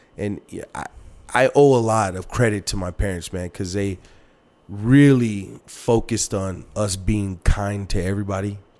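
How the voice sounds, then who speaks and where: A man with an American accent speaks at a moderate pace and a fairly low pitch, with big swings in loudness. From El Paso, Texas. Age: 30s. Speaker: car sales manager. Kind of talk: casual chat. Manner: animated.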